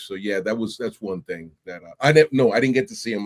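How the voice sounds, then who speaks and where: In a New York accent, a man talks at a fairly quick pace with ordinary pitch variation. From New York City (Bronx and Brooklyn). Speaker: Army veteran and podcast host. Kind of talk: interview conversation. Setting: live stream. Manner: animated.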